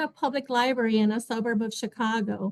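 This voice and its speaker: A woman with a Spanish accent speaks in a high pitch. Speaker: librarian. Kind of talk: panel talk.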